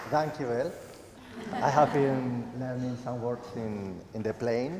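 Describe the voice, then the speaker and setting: Very slow speech from a man, with ordinary pitch variation, noticeable background noise, and audible room echo. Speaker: cancer survivor. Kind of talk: testimony. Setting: church stage with audience. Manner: halting.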